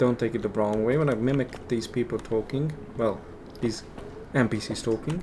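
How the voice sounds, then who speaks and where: Over noticeable background noise, a man with a non-native accent speaks with fairly even intonation and long, frequent pauses. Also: medium pitch for a man, moderate pace. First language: not English. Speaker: gaming youtuber. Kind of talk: gameplay commentary. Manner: casual, halting.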